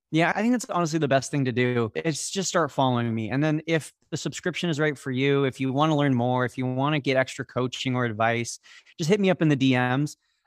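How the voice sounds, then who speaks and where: A man with an American accent speaks at a very fast pace. His pitch varies in an ordinary way. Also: medium pitch for a man, hardly any pauses. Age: 20s. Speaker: former college football player, social media marketer. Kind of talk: podcast interview.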